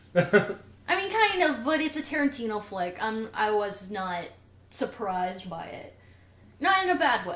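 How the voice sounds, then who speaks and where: With a Southern US accent, the speaker uses an animated tone, very wide pitch swings and a fairly slow pace over noticeable background noise. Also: woman, fairly high pitch for a woman, big swings in loudness. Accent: Southern twang. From US South. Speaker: podcast co-host. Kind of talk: casual chat.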